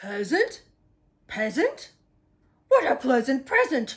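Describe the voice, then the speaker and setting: A put-on character voice is delivered at a high pitch and a fairly slow pace. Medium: read story. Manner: gruff, brash.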